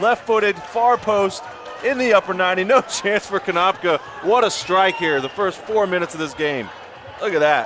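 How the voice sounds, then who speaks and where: Noticeable background noise sits behind a man whose high-pitched voice has lively intonation. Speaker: color commentator. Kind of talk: live sports commentary. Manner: animated, fast.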